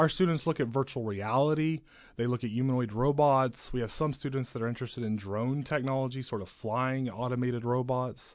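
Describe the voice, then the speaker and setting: This man talks at a fairly quick pace, in a medium pitch with fairly even intonation. It is an ordinary speaking voice. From West Texas (Crane and Midland). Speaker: communication professor. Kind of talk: interview. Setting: studio.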